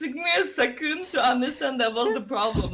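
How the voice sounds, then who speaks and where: Lively intonation in a Turkish accent, with noticeable background noise. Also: woman. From Turkey. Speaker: streamer. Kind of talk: casual chat.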